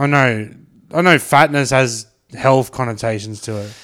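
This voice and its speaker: The recording is very clean, and the background is silent. A man talks in an Australian accent. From Brisbane, Australia. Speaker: podcast host. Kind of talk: casual chat.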